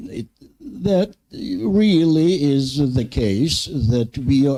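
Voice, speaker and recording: The tone is dark and mellow, with very wide pitch swings. The speech carries a Ukrainian accent. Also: man. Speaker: university leader, panelist. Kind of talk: panel discussion. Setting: conference panel with audience. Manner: hesitant.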